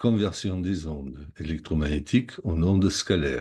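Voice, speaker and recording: A man's dark, mellow voice, lively intonation, and a very slow pace. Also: quiet background. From Germany, Munich. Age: 60s. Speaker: psychotherapy practitioner and product seller. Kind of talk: sales pitch. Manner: list-like reading.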